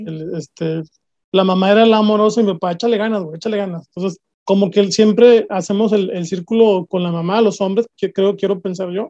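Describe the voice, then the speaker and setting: A man with a Mexican accent, high-pitched with a dark, mellow tone, at a fairly quick pace with fairly even intonation, in a dry, close sound with no echo. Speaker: podcast host. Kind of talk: interview conversation. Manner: halting, repeats words.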